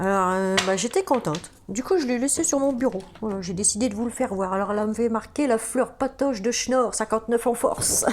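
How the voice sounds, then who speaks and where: Speaking at a moderate pace, a woman with a northern French accent has a fairly high voice and ordinary pitch variation. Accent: northern French (ch'ti). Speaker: tarot card reader. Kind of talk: tarot reading video, casual address to viewers. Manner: hesitant, many fillers and restarts.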